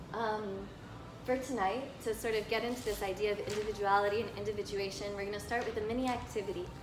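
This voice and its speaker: Amid noticeable background noise and audible room echo, a woman talks very fast in a fairly high, monotone voice with flat intonation. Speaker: lecturer and counselor. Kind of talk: lecture. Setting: live talk before an audience. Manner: casual, with filler words.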